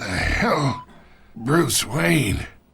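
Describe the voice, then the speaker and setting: In a put-on character voice, a man speaks with a raspy sound at a medium pitch. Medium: machinima. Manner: gravelly, wry, knowing.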